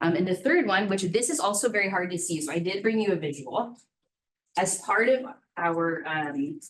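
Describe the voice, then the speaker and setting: With lively intonation, a woman speaks at a medium pitch and a moderate pace. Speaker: school administrator. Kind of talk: board meeting presentation. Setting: school board meeting room, ceiling microphones.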